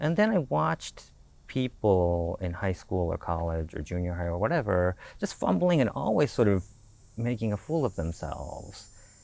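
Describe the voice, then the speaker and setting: Against a quiet background, a man with a Japanese accent talks at a moderate pace in a very deep, low pitch with lively intonation. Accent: Japanese, trouble with R and L sounds. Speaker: scenic designer. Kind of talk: casual chat. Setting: porch.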